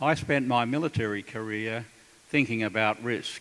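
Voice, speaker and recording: This man talks at a medium pitch with an Australian accent. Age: 70s. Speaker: retired military officer. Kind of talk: panel talk at a town hall. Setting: town hall meeting with audience.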